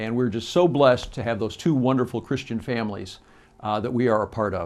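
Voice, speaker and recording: With a Midwestern American accent, a man is talking. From US Midwest, Joliet, Illinois. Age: 60s. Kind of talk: campaign address. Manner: halting, with frequent fillers.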